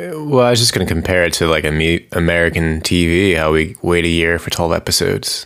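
A man's very deep, low voice at a very fast pace with hardly any pauses. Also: ordinary pitch variation. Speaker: podcast co-host. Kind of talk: casual chat.

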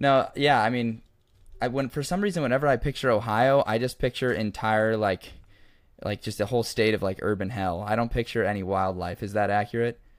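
Here is an unremarkable speaking voice: a man with an American accent at a medium pitch with ordinary pitch variation. He talks at a fairly quick pace in a very clean recording with a silent background. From Oregon. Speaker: podcast host. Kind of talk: casual chat.

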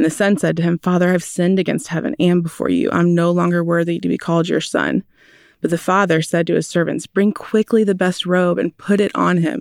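A woman with an unremarkable speaking voice talks at a fairly quick pace, her pitch fairly low and her intonation fairly even. Her loudness stays very even on a very clean recording with a silent background. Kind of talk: casual interview chat.

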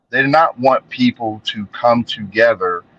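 With an American accent, a man talks in a bright, sharp tone with ordinary pitch variation, the sound dry and close with no echo. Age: 40s. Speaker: social media commentator. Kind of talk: casual interview conversation. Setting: online call.

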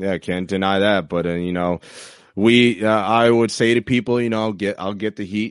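A man speaks at a moderate pace with an American accent, his pitch fairly low and his intonation fairly even. It is an ordinary speaking voice, recorded with a dry, close sound and no echo. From New York. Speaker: former college football running back. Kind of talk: casual interview chat.

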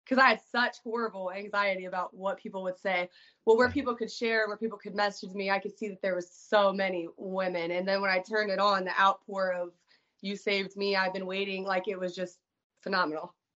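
A woman with a normal speaking voice and a medium pitch talks at a fairly quick pace. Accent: American. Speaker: author sharing recovery story. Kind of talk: personal testimony in interview.

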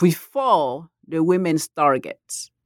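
In a West African accent, a woman speaks at a very slow pace with lively intonation, on a very clean recording with a silent background and a dry, close sound with no echo. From Ivory Coast. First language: Malinke. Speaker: professor of comparative literature. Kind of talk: academic interview.

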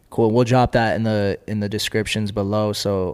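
Fairly low-pitched man with a Californian accent, at a moderate pace. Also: very clean recording, silent background. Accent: Californian American English. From Los Angeles. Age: 20s. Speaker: podcast host. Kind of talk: casual interview. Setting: studio.

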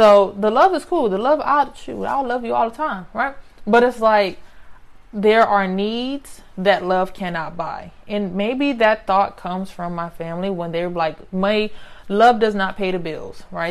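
A woman with an American accent and a medium pitch talks at a fairly slow pace. She has an unremarkable speaking voice with lively intonation. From US, grew up in housing projects. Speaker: podcast host. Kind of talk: solo podcast monologue. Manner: conversational, frequent tag questions.

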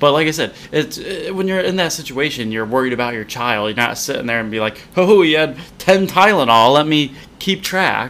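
Lively intonation carries an ordinary speaking voice along at a moderate pace. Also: man, fairly high pitch for a man. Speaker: podcast co-host. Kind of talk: casual chat, frustrated commentary. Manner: agreeing, more subdued, sighing.

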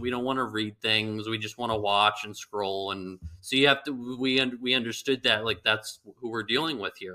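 A man with a Californian accent talks at a moderate pace, barely pausing at all. His medium-pitched voice has a bright, sharp tone and fairly even intonation. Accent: Californian American. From Northern California, Bay Area. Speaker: golf ball company founder. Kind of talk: interview. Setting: remote call.

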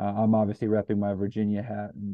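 Talking at a fairly quick pace, a man with an American accent has a normal speaking voice pitched fairly low. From US Midwest (Northeast Ohio). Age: 20s. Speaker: sports podcast host. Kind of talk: casual chat.

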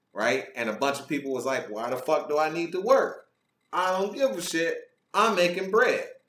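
A man speaks at a high pitch and a moderate pace with very wide pitch swings. Audible room echo surrounds his voice. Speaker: podcast host. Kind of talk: casual chat. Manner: less energetic than usual.

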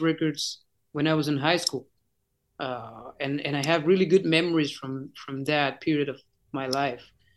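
Speaking in a Spanish accent, a man's voice sits at a fairly high pitch. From Chile. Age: 40s. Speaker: rock singer. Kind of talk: interview. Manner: halting.

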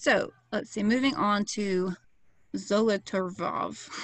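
Using a put-on character voice, a woman speaks raspily at medium pitch, with fairly even intonation and a fairly slow pace. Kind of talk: reading out a name.

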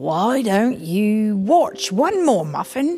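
In a put-on character voice, a female-sounding speaker talks at a very slow pace and a fairly high pitch. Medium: read story. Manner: gentle, warm.

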